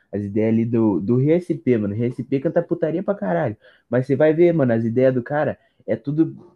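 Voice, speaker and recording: A man with a plain, everyday voice, medium pitch and lively intonation. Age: young. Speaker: podcast guest, rap fan. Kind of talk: casual chat.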